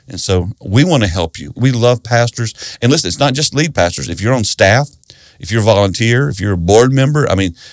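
Talking at a fairly quick pace in a Southern US accent, a man with a fairly low pitch and lively intonation comes through in a very clean recording with a silent background. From South Carolina. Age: 60s. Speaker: pastor and author. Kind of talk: interview.

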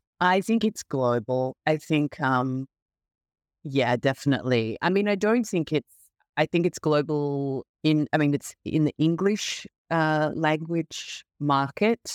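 Very deep and low, a woman with an Australian accent speaks fairly slowly with lively intonation and very even loudness, in a dry, close recording with no echo and a silent background. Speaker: novelist. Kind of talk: interview. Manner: halting, many fillers.

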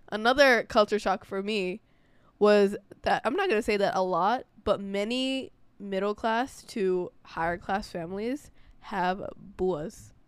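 Against a silent background on a very clean recording, a woman with a New York accent talks at a fairly slow pace, with a medium pitch and an animated tone. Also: ordinary pitch variation. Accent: New York American. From New York, US. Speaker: podcast co-host. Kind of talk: casual chat.

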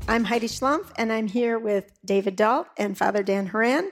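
A woman with an American accent uses an ordinary speaking voice, fairly high in pitch, at a moderate pace with fairly even intonation. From Milwaukee, Wisconsin. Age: 50s. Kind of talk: live podcast panel discussion; show introduction. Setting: live taping before an audience.

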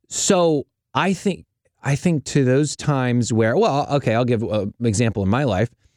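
A man's ordinary speaking voice at medium pitch and moderate pace, with lively intonation and very even loudness, dry and close with no echo, on a very clean recording with a silent background. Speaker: podcast host. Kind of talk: casual chat about faith.

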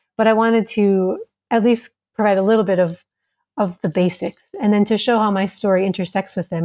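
A woman with an American accent speaks at medium pitch and a moderate pace. Her tone is dark and mellow, her intonation fairly even. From US Midwest, Minnesota. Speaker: author and school founder living abroad. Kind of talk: interview.

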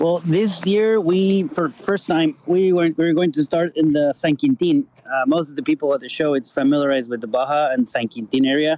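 Someone with a Spanish accent talks at a fairly quick pace with very even loudness over noticeable background noise. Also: man, ordinary pitch variation. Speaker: rally organizer. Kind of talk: casual interview chat.

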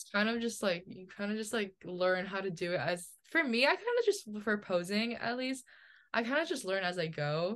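A woman with an American accent uses an ordinary speaking voice at a medium pitch and moderate pace. Her intonation is lively, and the background is quiet. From New Jersey. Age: 20s. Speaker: model and college student. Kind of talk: casual chat.

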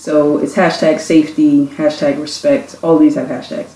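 Someone speaks with a New York accent. Noticeable background noise can be heard. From Brooklyn, New York. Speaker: youth program founder. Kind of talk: casual chat.

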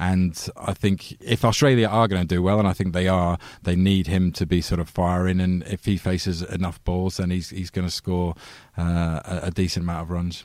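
On a very clean recording with a silent background, a man speaks in a very deep, low pitch with a northern English accent. His pace is moderate and his intonation fairly even. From northern England. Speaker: cricket writer. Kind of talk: casual chat.

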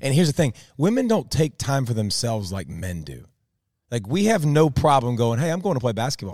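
Speaking at a fairly quick pace, a man's pitch swings very widely. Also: medium pitch for a man, very clean recording, silent background. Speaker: former pro athlete and co-host. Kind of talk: casual chat. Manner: loud, animated.

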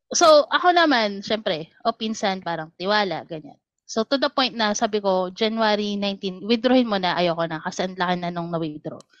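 At a fairly quick pace, a woman speaks with a medium pitch in a normal speaking voice. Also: lively intonation. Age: 30s. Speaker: caller. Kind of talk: casual chat.

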